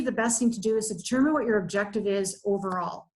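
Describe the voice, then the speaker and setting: Somewhat breathy, a woman speaks with fairly high pitch and ordinary pitch variation. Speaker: marketing consultant. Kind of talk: webinar presentation. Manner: fast.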